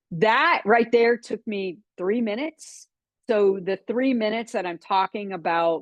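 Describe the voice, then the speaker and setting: A woman's medium-pitched voice with a slight Texan accent, lively intonation and a fairly slow pace. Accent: slight Texan twang. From Florida. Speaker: business coach. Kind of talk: webinar training talk.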